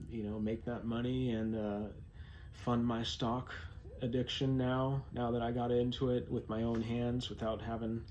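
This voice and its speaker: In an American accent, a man speaks at a fairly slow pace with fairly even intonation. His tone is dark and mellow, and audible room echo surrounds it. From California. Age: 40s. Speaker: vlogger. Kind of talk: personal vlog monologue. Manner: halting, many fillers.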